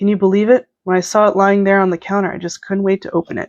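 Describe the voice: Against a quiet background, the speech is plain reading aloud.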